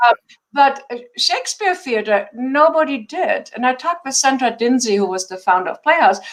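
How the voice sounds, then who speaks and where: A woman speaks at a moderate pace with a German accent, her high voice making very wide pitch swings and big shifts in loudness. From Germany. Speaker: theater founder and artistic director. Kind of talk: interview.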